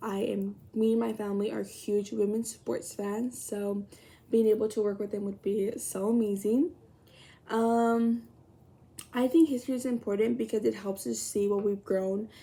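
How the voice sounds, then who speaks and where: Speaking with an American accent at a moderate pace, a woman has a fairly high-pitched, dark and mellow voice with fairly even intonation. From Texas, Laredo. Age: 20s. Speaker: college student. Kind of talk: self-introduction video. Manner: casual, hesitant with fillers.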